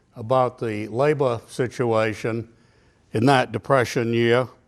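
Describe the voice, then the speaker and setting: This man speaks with a New England accent and fairly even intonation. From New Hampshire, Nashua. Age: 70s. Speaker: local historian. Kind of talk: lecture. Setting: stage with audience.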